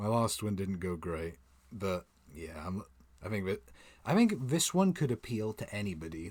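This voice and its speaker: A soft-spoken man with a fairly low pitch is heard in a very clean recording with a silent background. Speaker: manga reaction streamer. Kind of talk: live stream reading and reacting to manga. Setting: home streaming setup. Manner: quiet.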